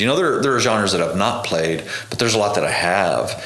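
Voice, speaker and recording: A man's fairly low voice carries audible room echo, with noticeable background noise around it. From Oklahoma, Tishomingo. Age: 30s. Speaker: touring bass player. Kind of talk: casual interview chat.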